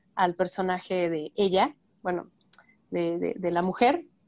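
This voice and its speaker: A woman speaks at a moderate pace with a Mexican accent against a quiet background. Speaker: actress and film podcast co-host. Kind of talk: casual chat.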